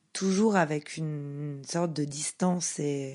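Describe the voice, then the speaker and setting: Against a quiet background, a woman speaks with a dark, mellow tone and fairly even intonation. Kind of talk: podcast narration.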